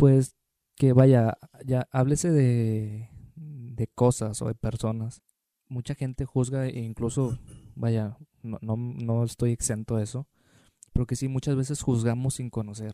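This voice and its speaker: A man speaks at a medium pitch and a fairly slow pace. His tone is dark and mellow, with flat, monotone intonation. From Tampico, Mexico. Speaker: podcast co-host. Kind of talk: casual chat.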